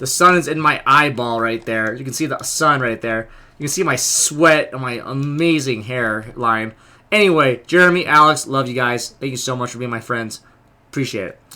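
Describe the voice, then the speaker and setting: Bright and sharp in tone, a man speaks at a medium pitch and moderate pace, with ordinary pitch variation and big swings in loudness. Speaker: vlogger and convention delegate. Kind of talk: casual vlog. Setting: outdoors in a line.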